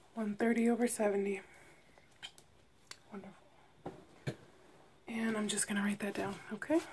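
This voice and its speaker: Soft-spoken and somewhat breathy, a woman talks at a moderate pace with fairly even intonation over light background noise. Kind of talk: role-play exam talk, soft and caring. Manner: soft ASMR nurse voice, very quiet. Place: home room. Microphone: phone near.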